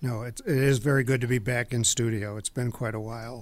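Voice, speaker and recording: This man has a normal speaking voice, medium in pitch, with fairly even intonation. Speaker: estate sale business owner. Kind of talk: radio interview. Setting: studio.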